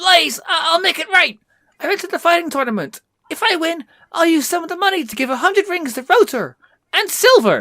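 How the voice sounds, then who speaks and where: A man puts on a squeaky character voice at an extremely high pitch. He delivers it at a fairly quick pace. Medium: read story. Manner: gentle, earnest.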